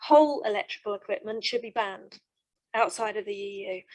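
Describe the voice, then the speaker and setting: The speaker is a woman with a fairly high pitch. Her pitch varies in an ordinary way. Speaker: waste management industry representative. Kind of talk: panel discussion remark. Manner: fast; hesitant with many fillers.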